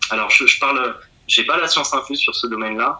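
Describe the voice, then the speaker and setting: A man talks at an average speed. Clear background noise accompanies him. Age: 20s. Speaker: NGO mission coordinator. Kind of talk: interview. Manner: halting, frequent repetitions and fillers.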